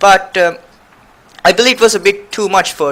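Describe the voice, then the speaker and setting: Someone speaks at a moderate pace with a non-native accent. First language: not English. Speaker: gaming YouTuber. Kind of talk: video game commentary. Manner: halting.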